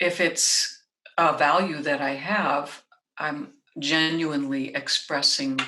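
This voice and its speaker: With an American accent, a woman talks at a very slow pace in a very deep, low pitch with fairly even intonation. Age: 60s. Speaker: singer, composer and voice teacher. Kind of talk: interview conversation.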